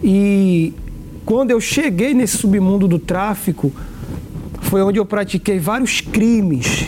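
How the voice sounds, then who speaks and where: Very slow, with long, frequent pauses and very even loudness, a man talks in a high pitch against noticeable background noise. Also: ordinary pitch variation. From Brazil, Recife, Pernambuco. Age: 20s. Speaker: former drug trafficker. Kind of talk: testimony.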